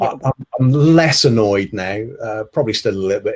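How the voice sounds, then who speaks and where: A man with a British accent at a moderate pace. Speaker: dentist presenting on infection control. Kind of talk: webinar presentation. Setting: online webinar from home.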